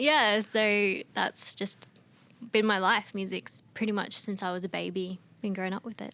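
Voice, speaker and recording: Her tone bright and sharp, a woman speaks at a moderate pace with a medium pitch and fairly even intonation. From Australia (Queensland). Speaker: singer-songwriter. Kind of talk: interview chat. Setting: studio. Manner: casual, many fillers.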